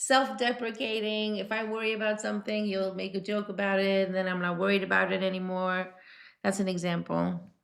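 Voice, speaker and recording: With a New York accent, a woman talks at a fairly quick pace in a medium pitch, her intonation fairly even. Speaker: singer. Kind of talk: interview.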